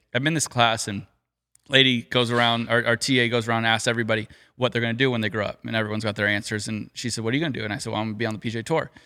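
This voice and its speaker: A very fast man with an American accent and a bright, sharp tone. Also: very clean recording, silent background. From California. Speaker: professional golfer. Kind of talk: casual chat.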